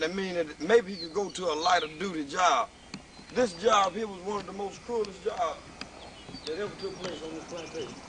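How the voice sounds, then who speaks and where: A man's high voice comes through at a fairly quick clip, its intonation fairly even, amid noticeable background noise. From Mississippi. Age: 30s. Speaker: religious video maker. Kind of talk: documentary tour commentary.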